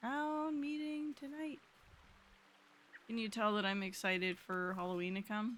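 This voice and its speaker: Speaking fairly slowly with long, frequent pauses, a woman with an American accent uses lively intonation in a fairly high voice. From California, US. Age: 20s. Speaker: video game streamer. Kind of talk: casual gaming live stream chat. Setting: live stream. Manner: animated.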